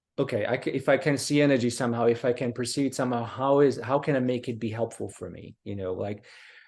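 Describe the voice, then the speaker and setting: A man in a Slovak accent speaks at a very fast pace with fairly even intonation. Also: medium pitch for a man, hardly any pauses, quiet background. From Slovakia. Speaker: martial arts instructor. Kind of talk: casual interview. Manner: halting.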